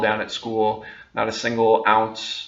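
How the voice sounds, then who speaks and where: A man with a medium pitch speaks amid audible room echo. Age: 20s. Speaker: vlogger. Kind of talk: casual monologue to camera. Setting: talking on camera. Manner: hesitant, many fillers.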